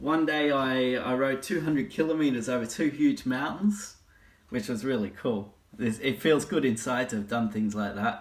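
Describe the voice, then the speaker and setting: A man with an Australian accent speaks at a medium pitch. His pace is moderate and his intonation lively. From Australia (eastern). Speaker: life coach. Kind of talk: casual talk to camera.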